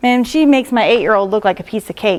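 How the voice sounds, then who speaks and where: A woman speaks at a fairly quick pace. Her pitch is fairly high. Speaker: school district transition specialist. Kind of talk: presentation to parents. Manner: fast.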